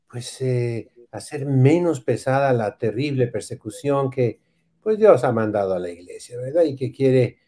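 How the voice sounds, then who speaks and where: Speaking at a fairly slow pace, a man uses a medium pitch with a dark, mellow tone and ordinary pitch variation. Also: quiet background. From Mexico. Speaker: priest. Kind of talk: casual chat. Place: home room. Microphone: video call.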